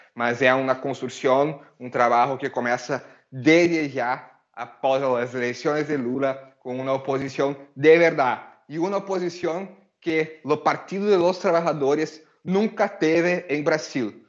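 A man with an unremarkable speaking voice talks fairly slowly at a fairly high pitch, with ordinary pitch variation. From Brazil. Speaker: lawyer and political activist. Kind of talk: interview answers on Twitter Space.

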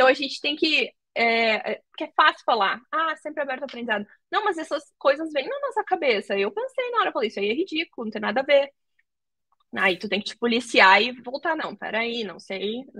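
Raising and projecting her voice, a woman speaks at a fairly quick pace and high pitch with a bright, sharp tone and very wide pitch swings, in a dry, close sound with no echo. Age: 20s. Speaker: tech recruiter. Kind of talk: casual interview. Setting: live video call.

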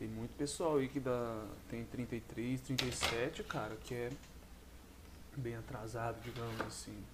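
Very slow pace with long, frequent pauses. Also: man, medium pitch for a man, fairly even intonation. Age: 20s. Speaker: podcast host. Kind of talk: solo monologue podcast. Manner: casual, halting with many fillers.

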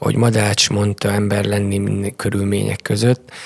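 Speaking at a fairly slow pace, a man has an ordinary speaking voice and a fairly low pitch. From Transylvania, Romania (Sepsiszentgyörgy). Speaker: karate coach. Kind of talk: interview.

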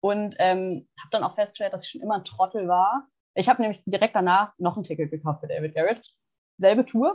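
This woman talks at a fairly quick pace and medium pitch, her voice somewhat breathy. Her pitch varies in an ordinary way, while her loudness swings widely. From Germany, small town. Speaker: podcast co-host, psychology student. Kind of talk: casual chat.

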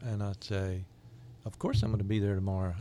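A man with a Southern US accent is heard on a very clean recording, the background completely silent. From US South, Jacksonville, Florida. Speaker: microchurch leader. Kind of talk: interview.

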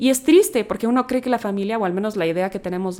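Her intonation holds fairly even. This woman talks at a very fast pace. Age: 30s. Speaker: podcast host. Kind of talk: personal reflection monologue. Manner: conversational.

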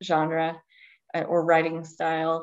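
This woman has an Appalachian accent and a fairly low pitch. She speaks at a fairly slow pace. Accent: Appalachian US Southern. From Eastern Kentucky. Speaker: novelist. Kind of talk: podcast interview.

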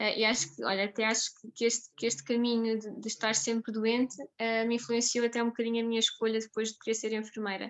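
Her voice fairly high, a woman talks at a fairly quick pace. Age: 20s. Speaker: nurse and food blogger. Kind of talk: interview. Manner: halting, many repetitions and fillers.

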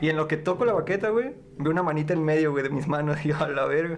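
Amid noticeable background noise and audible room echo, a man speaks very fast at a fairly high pitch. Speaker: podcast guest. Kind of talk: casual chat. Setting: studio.

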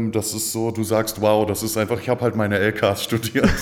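This man has an unremarkable speaking voice. He talks at a medium pitch and a moderate pace. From Aachen area, western Germany. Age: 30s. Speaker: PR agency founder. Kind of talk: casual interview.

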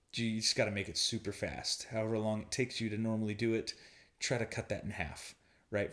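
A soft-spoken man talks at a medium pitch. His pace is fairly quick. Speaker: podcast host, online marketing. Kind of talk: casual solo monologue. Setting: friend's house while traveling. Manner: soft-spoken, quiet; hesitant, many fillers.

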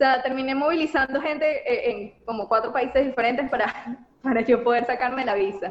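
At a fairly quick pace, a woman with a Venezuelan accent talks at a high pitch with ordinary pitch variation against noticeable background noise. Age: 30s. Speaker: graduate student. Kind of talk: interview.

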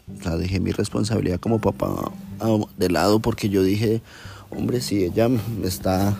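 With long, frequent pauses, a man speaks at a fairly low pitch with ordinary pitch variation. Music plays in the background. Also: moderate pace, very even loudness. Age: 30s. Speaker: personal storyteller. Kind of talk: personal testimony.

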